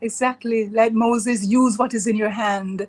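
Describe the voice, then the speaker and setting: A woman's somewhat breathy, fairly high voice moves at a moderate pace in a monotone, flat intonation. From Jamaica, Kingston. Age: 60s. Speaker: author and retired teacher. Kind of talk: interview testimony.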